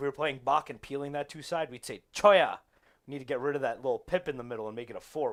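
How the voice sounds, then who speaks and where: Talking at a very fast pace in an American accent, the speaker shows ordinary pitch variation. Loudness swings widely. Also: man. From New Jersey, US (Central Jersey). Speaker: poker stream co-commentator. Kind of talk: live commentary; casual chat.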